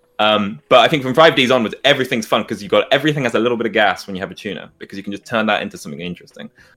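A man with a British accent talks at a very fast pace in a medium pitch. His loudness swings widely and his intonation is lively. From UK. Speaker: content creator. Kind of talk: casual chat.

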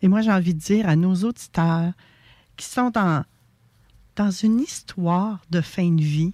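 Here a woman talks at a fairly low pitch in a dark, mellow tone with ordinary pitch variation. The recording is very clean, with a silent background and a dry, close sound with no echo. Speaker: radio host. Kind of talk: radio talk show interview. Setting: radio studio, also streamed live.

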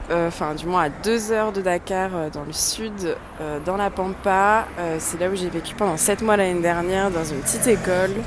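A woman speaks at a moderate pace and medium pitch with fairly even intonation. Audible room echo and noticeable background noise are present. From France, Bassin d'Arcachon. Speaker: educational coordinator. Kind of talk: casual voice messages.

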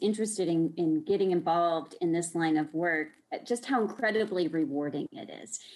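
A woman is speaking at a moderate pace. Her pitch sits in the medium range. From Texas (Austin). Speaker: religious liberty advocate. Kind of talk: interview.

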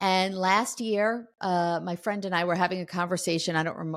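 A plain, everyday voice from a woman, fairly low in pitch, at a moderate pace in a very clean recording with a silent background. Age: 60s. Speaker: author and entrepreneur. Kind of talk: interview testimony.

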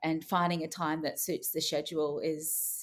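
A woman speaks with an Australian accent at a fairly low pitch and a moderate pace. The recording is very clean, with a silent background. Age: 30s. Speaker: TV personality. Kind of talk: interview.

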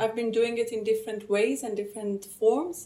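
The speaker is a woman with a Persian accent. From Iran. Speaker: theatre actress and cultural manager. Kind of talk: conversational interview.

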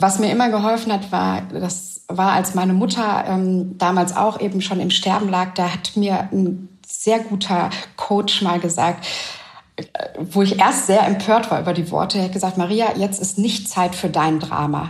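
There is noticeable background noise and audible room echo as a woman with a medium pitch talks at a fairly slow pace in a monotone, flat intonation. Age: 30s. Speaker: widowed single mother. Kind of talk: interview. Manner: hesitant, with frequent fillers.

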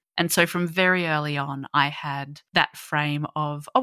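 A woman's very deep, low voice with a bright, sharp tone and ordinary pitch variation, in an Australian accent, dry and close with no echo, on a very clean recording with a silent background. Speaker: young adult fiction author. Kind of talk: casual interview chat.

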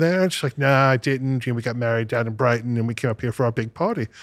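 With a New York accent, a man talks at a very fast pace and medium pitch in a very clean recording with a silent background. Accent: New York American. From US Northeast, Brooklyn and Long Island, New York. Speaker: music producer and sound engineer. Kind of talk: casual chat.

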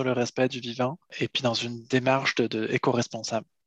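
The man's voice is medium in pitch, with monotone, flat intonation. The sound is dry and close, with no echo. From France, Paris region and Brittany. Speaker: seaweed harvester and entrepreneur. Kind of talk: interview.

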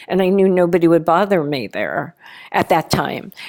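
In an ordinary speaking voice, a woman with fairly low pitch and ordinary pitch variation is heard on a very clean recording with a silent background. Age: 60s. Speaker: conceptual artist. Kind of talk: interview conversation.

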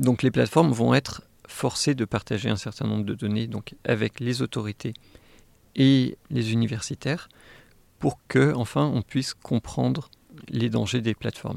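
A man with vocal fry speaks fairly slowly at a medium pitch, with ordinary pitch variation and long, frequent pauses, in a dry, close sound with no echo. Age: 40s. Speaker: AI engineer and tech whistleblower. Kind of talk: interview. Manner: hesitant, many fillers and repetitions.

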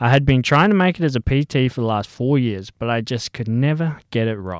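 A man with an Australian accent, medium pitch, lively intonation and a fairly quick pace, on a very clean recording with a silent background and a dry, close sound without echo. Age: 20s. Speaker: podcast host, personal trainer. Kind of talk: personal monologue.

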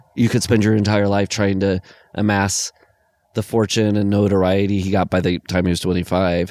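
A man with an American accent and an ordinary speaking voice, fairly low in pitch, at a fairly quick pace, in a very clean recording with a silent background and a dry, close sound with no echo. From Iowa, US Midwest. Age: 40s. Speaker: podcast co-host. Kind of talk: casual chat.

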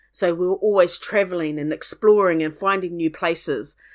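In a very clean recording with a silent background, a woman with a New Zealand accent talks at a medium pitch with fairly even intonation. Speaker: archaeologist and museum curator. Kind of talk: interview.

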